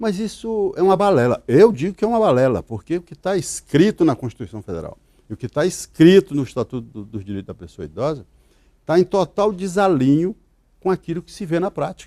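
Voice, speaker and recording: A man at a fairly quick pace, high-pitched with very wide pitch swings and big swings in loudness, dark, mellow in tone, with a dry, close sound and no echo. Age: 70s. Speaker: lawyer. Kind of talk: interview.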